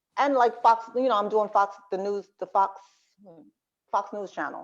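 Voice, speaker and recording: A woman's medium-pitched voice moves along at a moderate pace. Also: fairly even intonation. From New Jersey, born in Brooklyn. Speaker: nurse and TV health commentator. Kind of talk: interview.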